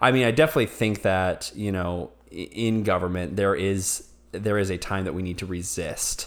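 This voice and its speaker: The man's voice sits at a fairly low pitch with ordinary pitch variation and hardly any pauses. It comes through on a very clean recording with a silent background. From not Texas, moved to Texas. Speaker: podcast co-host. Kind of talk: casual banter conversation about faith and politics.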